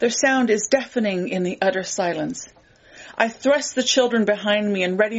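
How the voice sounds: The speaker reads in a natural voice, and the pitch varies in an ordinary way.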